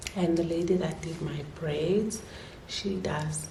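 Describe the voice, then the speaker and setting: The speaking pace is very slow. Noticeable background noise and audible room echo fill the clip. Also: woman. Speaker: vlogger. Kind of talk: casual vlog talk. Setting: at home. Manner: whispering.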